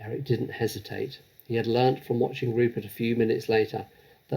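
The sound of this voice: Simply an unforced reading voice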